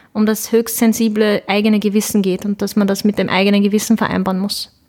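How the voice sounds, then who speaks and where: Fairly high in pitch, a woman is heard speaking. Her pace is moderate. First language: Turkish (speaking German). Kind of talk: interview.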